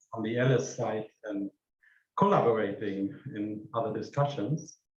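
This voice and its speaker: A man with a German accent and ordinary pitch variation. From Germany. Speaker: AI researcher. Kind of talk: conference keynote. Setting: stage with audience.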